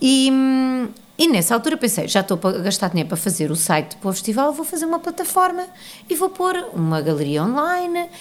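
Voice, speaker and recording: A woman speaks at a fairly quick pace. Her high voice makes very wide pitch swings. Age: 40s. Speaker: arts organisation founder. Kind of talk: interview.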